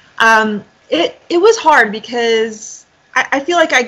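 A woman speaks in an American accent with a bright, sharp tone. Her voice is high-pitched and her intonation lively. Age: 40s. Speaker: professional triathlete. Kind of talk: casual interview. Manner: hesitant, many fillers.

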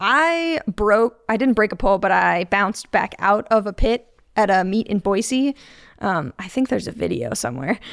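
Recorded very cleanly against a silent background, with a dry, close sound and no echo, a woman with an American accent speaks at a moderate pace, her pitch swinging very widely, with vocal fry. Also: medium pitch for a woman. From Chicago suburbs, Illinois. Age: 30s. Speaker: HVAC technician. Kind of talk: casual chat. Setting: studio.

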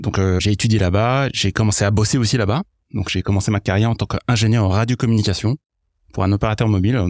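A man's fairly low voice at a very fast pace, fairly even in intonation and very even in loudness, dry and close with no echo on a very clean recording with a silent background. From mixed: Iraq, England, US, France from age 10. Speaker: product leader. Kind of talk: podcast interview.

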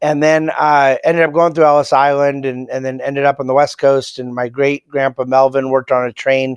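A man with an American accent and an unremarkable speaking voice talks at a fairly quick pace, with a fairly high pitch and fairly even intonation. The sound is dry and close with no echo, over a quiet background. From California. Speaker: economist and podcast co-host. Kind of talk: casual chat. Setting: remote recording from New York.

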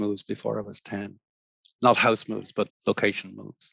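A man talks at a moderate pace, in a dry, close sound with no echo. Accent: Irish. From Ireland. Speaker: architect. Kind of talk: interview. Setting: remote call.

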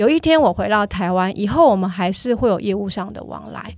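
Here is a woman at medium pitch. Her intonation is lively. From Taiwan, Tainan. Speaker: car company marketing manager. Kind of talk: interview. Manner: storytelling, animated with laughs.

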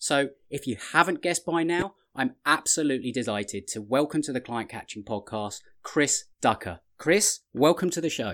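Speaking at a moderate pace, a man with a normal speaking voice and fairly high pitch uses lively intonation. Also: very clean recording, silent background. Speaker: podcast host and business coach. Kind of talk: interview.

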